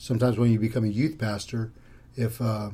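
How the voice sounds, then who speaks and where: In an American accent, a man speaks at a moderate pace and medium pitch, his dark, mellow tone somewhat breathy and his intonation monotone and flat. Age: 50s. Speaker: pastor. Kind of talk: casual interview.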